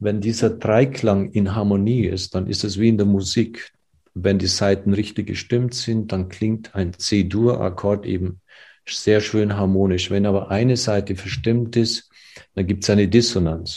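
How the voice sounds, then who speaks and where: Fairly low, somewhat breathy male voice with a dark, mellow tone and monotone, flat intonation, against a quiet background. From Germany, village. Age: 60s. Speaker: physician and ayurveda expert. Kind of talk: interview.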